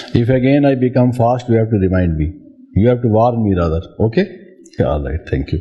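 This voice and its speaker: At a fairly quick pace, a man with a medium pitch speaks with very wide pitch swings. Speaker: spiritual teacher. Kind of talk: spiritual talk.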